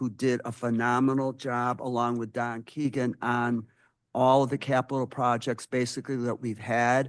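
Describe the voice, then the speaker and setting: A man with an American accent speaks at a moderate pace in a medium pitch, his intonation flat and monotone. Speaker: school board member. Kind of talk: committee report at board meeting. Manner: loud.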